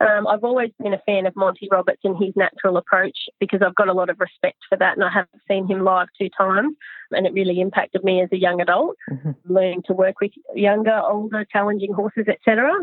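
Speaking very fast with very even loudness, a woman with an Australian accent keeps a medium pitch and ordinary pitch variation. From Australia, Newcastle NSW. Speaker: vaulting coach. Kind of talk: interview.

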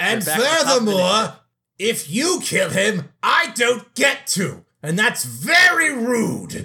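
In a put-on character voice, a man speaks at an extremely high pitch and a very slow pace. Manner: grandiose, indignant, menacing.

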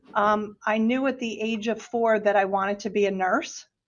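A woman's fairly high voice in a New Jersey accent, at a moderate pace with fairly even intonation. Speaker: hospital executive. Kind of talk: casual interview.

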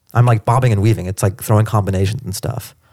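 Heard dry and close with no echo on a very clean recording with a silent background, a plain, everyday voice with an American accent shows ordinary pitch variation. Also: man. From US Pacific Northwest (Seattle). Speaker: stand-up comedian. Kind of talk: interview. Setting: in person, Washington DC.

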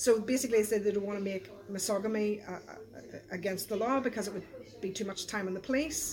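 A woman with a Belfast accent speaks at a fairly quick pace over noticeable background noise. Her pitch is medium, with ordinary pitch variation. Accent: Belfast Northern Irish. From Northern Ireland, East Belfast. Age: 40s. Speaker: pastor. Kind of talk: casual chat. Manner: animated.

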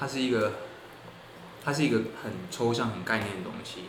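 Recorded with audible room echo and noticeable background noise, a man speaks at a medium pitch. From Taiwan. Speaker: architecture student. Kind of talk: casual interview.

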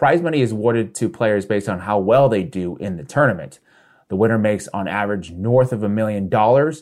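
In an ordinary speaking voice, a man talks at a fairly quick pace with a fairly low pitch and lively intonation against a quiet background. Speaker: political commentator. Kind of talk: scripted commentary segment.

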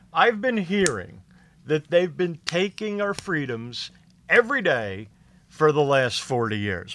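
Fairly slow and high-pitched, this man's voice has a bright, sharp tone and very wide pitch swings. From Philadelphia area, US. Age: 50s. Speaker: stand-up comedian. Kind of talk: casual chat.

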